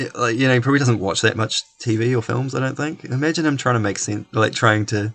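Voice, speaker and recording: He talks at a very fast pace with a slight New Zealand accent. Noticeable background noise sits behind the man's voice. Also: medium pitch for a man, ordinary pitch variation. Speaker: podcast co-host. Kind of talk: casual chat.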